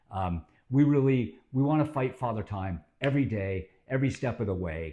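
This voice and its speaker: A man talks at a moderate pace with a dark, mellow tone and medium pitch. His intonation is lively, and the background is quiet. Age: 50s. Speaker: fitness channel host. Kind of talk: informal fitness talk to camera. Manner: casual with many filler words.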